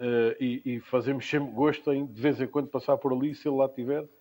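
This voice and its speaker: A man's fairly high voice, monotone and flat, at a fairly quick pace, on a very clean recording with a silent background. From Portugal, Lisbon. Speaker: cultural association founder, musician. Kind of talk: interview. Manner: halting, repeats words.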